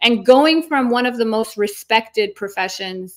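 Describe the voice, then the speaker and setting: A woman speaks with an Iranian accent. The recording is very clean, the background silent. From North America, second-generation Iranian. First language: Farsi. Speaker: lawyer and online content creator. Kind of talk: casual interview chat. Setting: livestream interview. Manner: fast, filler-heavy speech.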